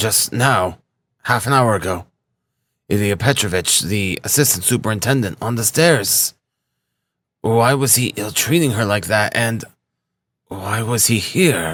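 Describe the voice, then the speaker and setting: A put-on character voice from a man, raspy and medium in pitch, at a moderate pace broken by long, frequent pauses. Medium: read story.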